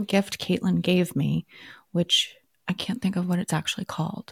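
This woman's voice has a dark, mellow tone and is somewhat breathy. Her intonation stays fairly even. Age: 40s. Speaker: podcast co-host. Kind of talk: casual chat.

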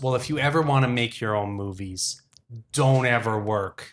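Using a put-on character voice, a man speaks at a medium pitch and moderate pace with ordinary pitch variation.

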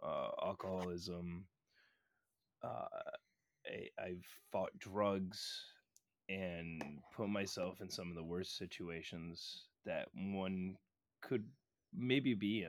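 The recording is very clean, with a silent background. The speaker has an American accent. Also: man. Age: 20s. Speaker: podcaster and record label member. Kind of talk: casual chat.

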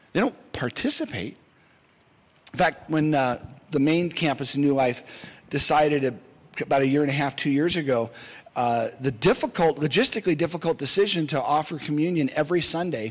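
A man with an unremarkable speaking voice, fairly quick and fairly high, his pitch varying in an ordinary way. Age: 50s. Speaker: Sunday school teacher. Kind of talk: Bible lesson. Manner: conversational.

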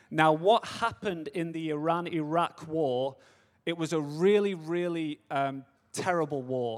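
At a fairly slow pace, a man with an American accent talks in a fairly high voice with ordinary pitch variation. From Manchester, England. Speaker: missions speaker. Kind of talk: seminar talk.

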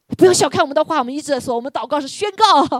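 Her tone animated and her pitch swinging very widely, a woman speaks in a dry, close sound with no echo. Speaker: preacher leading prayer. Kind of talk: sermon with fervent prayer. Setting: church. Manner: fervent, urgent, repetitive exhortation; animated, rallying the congregation.

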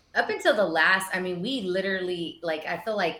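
In an American accent, a woman with a plain, everyday voice speaks at a medium pitch with fairly even intonation. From Texas, East Austin. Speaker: cannabis store owner. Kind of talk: interview.

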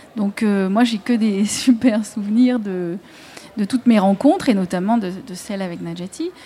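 A woman's medium-pitched voice at a fairly slow pace, with ordinary pitch variation, big swings in loudness and noticeable background noise. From Marseille. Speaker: author and videographer. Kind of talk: live radio panel discussion. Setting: outdoor live broadcast with audience.

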